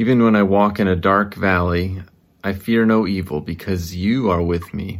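A man's very deep, low voice, fairly even in intonation, at a moderate pace. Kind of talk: fervent spoken prayer. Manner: earnest, pleading, heartfelt; measured, reverent pace with occasional self-correction.

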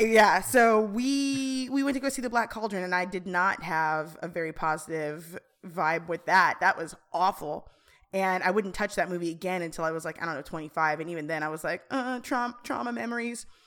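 A woman with a plain, everyday voice, medium pitch and lively intonation at a moderate pace, on a very clean recording with a silent background. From Colorado, Aurora. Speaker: high school drama teacher. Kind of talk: casual chat.

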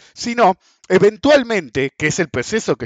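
Speaking at a moderate pace in a Rioplatense accent, a man with a high voice makes very wide pitch swings. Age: 50s. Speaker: economics and markets podcast host. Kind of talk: solo commentary monologue.

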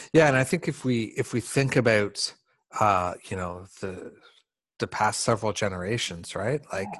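A man's plain, everyday voice, fairly low in pitch, with ordinary pitch variation, a moderate pace, and a quiet background. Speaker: podcast host. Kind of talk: conversational interview.

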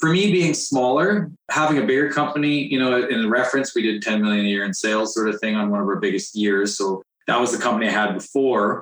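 Delivered at a very fast pace with hardly any pauses, the speech has very even loudness. The intonation is lively, in a Canadian accent. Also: man, medium pitch for a man. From northern British Columbia, Canada. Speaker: renovation contractor and house flipper. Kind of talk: casual interview.

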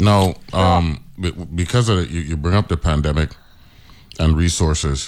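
Speaking at a fairly slow pace with long, frequent pauses, a man with an American accent has a very deep, low pitch. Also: ordinary pitch variation. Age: 50s. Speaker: radio host. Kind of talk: casual chat.

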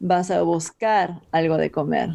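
Dark and mellow in tone, a woman's voice is heard. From Peru. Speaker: health coach and kickboxing trainer. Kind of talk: podcast interview.

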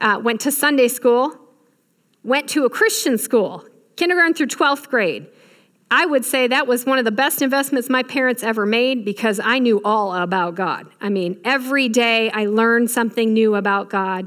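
A woman's high, animated voice at a moderate pace with ordinary pitch variation. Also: very clean recording, silent background. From Michigan. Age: 40s. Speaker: guest preacher. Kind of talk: sermon.

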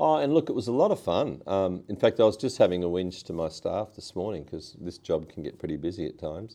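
A man with an Australian accent talks at a fairly quick pace with hardly any pauses, his very deep, low voice dark and mellow and his intonation lively. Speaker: politician. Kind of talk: interview.

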